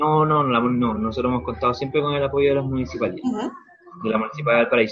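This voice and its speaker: Speaking in a Chilean accent, a man goes at a very fast pace with hardly any pauses. His fairly high voice shows ordinary pitch variation over noticeable background noise. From Chile, Rancagua. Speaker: tour company owner. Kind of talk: interview.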